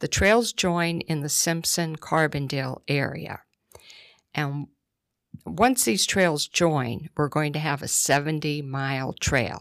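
Speaking at a very slow pace with a northeastern Pennsylvania accent, this woman has a very deep, low pitch and ordinary pitch variation. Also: very clean recording, silent background. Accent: northeastern Pennsylvania (Scranton) American. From northeastern Pennsylvania, Scranton. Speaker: executive director of a trail nonprofit. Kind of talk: radio interview. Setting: studio.

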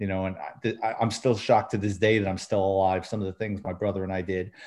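The speaker is a man with a New York accent. The background is quiet. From New York City. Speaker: retired police detective and author. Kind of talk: casual interview.

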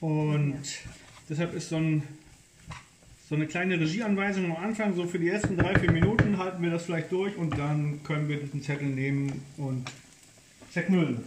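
Amid noticeable background noise and audible room echo, a man with a fairly high pitch talks at a moderate pace, using ordinary pitch variation and long, frequent pauses. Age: 50s. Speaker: podcast co-host, father and grandfather. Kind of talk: casual chat while cooking. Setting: home kitchen.

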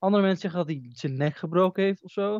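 Speaking fast in a high pitch, a man has a slightly mellow tone and ordinary pitch variation, recorded with a dry, close sound with no echo.

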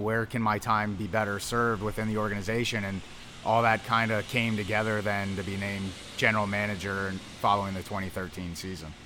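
A man with an American accent talks at a fairly quick pace in a fairly low, monotone, flat voice. Music plays in the background, and the room echo is audible. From US Northeast, Philadelphia area. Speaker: minor league baseball general manager. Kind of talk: interview. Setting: outdoors at a ballpark.

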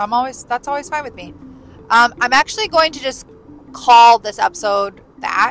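A woman talks at a moderate pace in a high voice with ordinary pitch variation and big swings in loudness. The sound is dry and close with no echo, though noticeable background noise comes through. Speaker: podcast host. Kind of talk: casual monologue. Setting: in a car.

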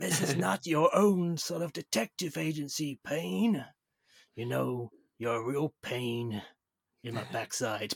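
A man speaks in a gruff, put-on character voice at a fairly slow pace. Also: medium pitch for a man. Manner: gruff, stern.

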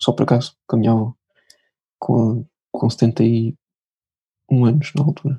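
Dark, mellow, somewhat breathy speech at a fairly slow pace, dry and close with no echo. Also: man. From Portugal, Lisbon. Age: young. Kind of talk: testimony.

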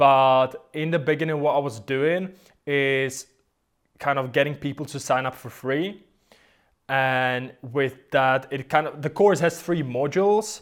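Speaking at a fairly slow pace, a man with a non-native accent uses a fairly high pitch and ordinary pitch variation. The recording is very clean with a silent background. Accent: foreign-accented English. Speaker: guitarist and online course creator. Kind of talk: casual interview chat.

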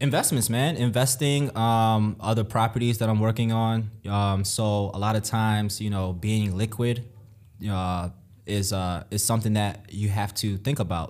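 A man with a normal speaking voice talks at a moderate pace and fairly low pitch. His loudness stays very even and his intonation fairly even. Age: 20s. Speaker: real estate investor. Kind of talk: casual interview.

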